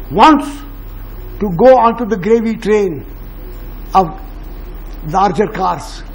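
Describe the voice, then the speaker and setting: Amid noticeable background noise and audible room echo, a man speaks at a very slow pace with long, frequent pauses, a high pitch and lively intonation. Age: 80s+. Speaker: educationist. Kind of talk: public talk with Q&A. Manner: animated.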